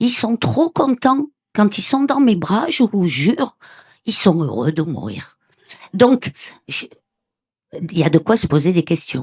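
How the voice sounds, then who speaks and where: Speaking at a very slow pace with long, frequent pauses, a woman of medium pitch uses very wide pitch swings and vocal fry, with a dry, close sound and no echo. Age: 70s. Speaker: audience member sharing near-death experience. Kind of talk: testimony. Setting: conference with audience. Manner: animated.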